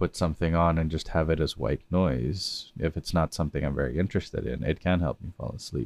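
With vocal fry and a very deep, low pitch, the man speaks at a fairly quick pace. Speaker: podcast host and sleep-aid lecturer. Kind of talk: calming educational talk meant to help listeners sleep.

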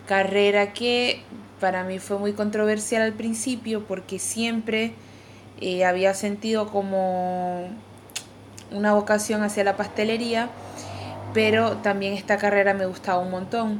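This woman has a Venezuelan accent and a medium pitch. She speaks at a fairly slow pace in a monotone, flat intonation. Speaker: pastry chef. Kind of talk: casual chat.

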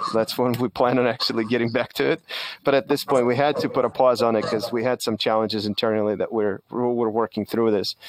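A man at a medium pitch and a very fast pace, with very even loudness, dry and close with no echo, over noticeable background noise. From Soviet Union. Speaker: podcast and webinar host. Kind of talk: live webinar discussion. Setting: video call. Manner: animated.

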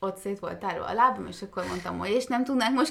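Noticeable background noise around a woman's voice, moderate in pace. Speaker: podcast co-host. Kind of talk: casual chat. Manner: quiet.

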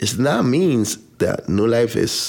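With a Dominican accent and vocal fry, a man talks at a fairly low pitch using lively intonation. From Dominican Republic. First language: Spanish. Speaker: pastor. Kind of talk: interview. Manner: halting.

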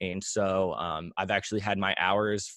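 A man with a normal speaking voice talks at a moderate pace and a fairly low pitch with fairly even intonation, the sound dry and close with no echo over a quiet background. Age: 20s. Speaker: content creator. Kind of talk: interview.

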